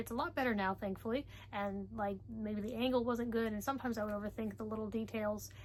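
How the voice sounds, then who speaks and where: Somewhat breathy, a woman speaks very fast at a fairly high pitch with fairly even intonation. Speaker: book vlogger. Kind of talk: casual vlog talk. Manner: soft-spoken.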